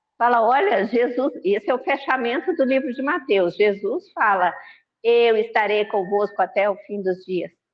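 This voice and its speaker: A woman's high-pitched voice at a moderate pace. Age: 60s. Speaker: spiritist lecturer. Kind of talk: religious talk. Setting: online video meeting. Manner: conversational.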